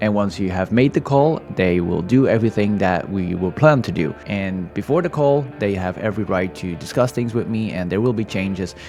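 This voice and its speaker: A man speaks at a moderate pace with hardly any pauses, his pitch fairly low. His intonation is lively, and music plays in the background. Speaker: airsoft player, platoon leader. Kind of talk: voice-over commentary.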